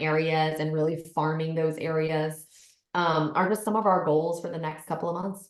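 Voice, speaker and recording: At a moderate pace, a woman speaks. Her pitch is fairly low. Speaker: real estate broker. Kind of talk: interview. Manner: loud.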